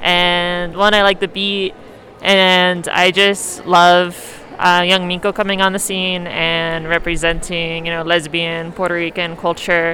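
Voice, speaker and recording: Noticeable background noise accompanies a fairly slow, monotone voice with flat intonation. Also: woman, fairly low pitch for a woman. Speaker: podcast host. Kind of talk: casual chat. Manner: loud, screaming into the mic.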